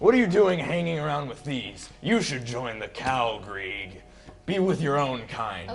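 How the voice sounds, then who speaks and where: Over clear background noise, a man performs a put-on character voice at a fairly high pitch. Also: moderate pace. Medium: actual play.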